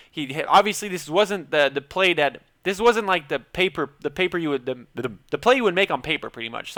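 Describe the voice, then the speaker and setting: A man mumbles in a put-on, high-pitched character voice at a fairly quick pace with hardly any pauses and lively intonation, the sound dry and close with no echo. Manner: mumbling.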